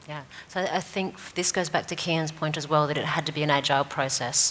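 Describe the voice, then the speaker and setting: This woman's voice has a very deep, low pitch, heard against noticeable background noise. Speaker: e-commerce manager. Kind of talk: panel discussion.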